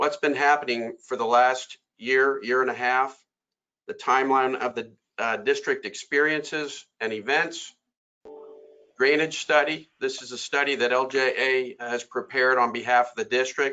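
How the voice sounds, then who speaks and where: This loud man has a medium-pitched voice with a bright, sharp tone. He speaks at a moderate pace with ordinary pitch variation. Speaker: civil engineer. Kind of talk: presentation.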